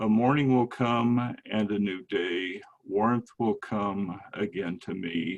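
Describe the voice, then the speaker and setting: Very slowly, a man speaks in a fairly low pitch with ordinary pitch variation. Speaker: poet. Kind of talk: poetry reading; casual chat.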